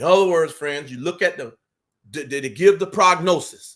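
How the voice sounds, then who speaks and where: Against a quiet background, a man with a Southern US accent speaks at a moderate pace, his high voice showing ordinary pitch variation. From US South. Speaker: Bible study teacher. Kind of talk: Bible study lecture.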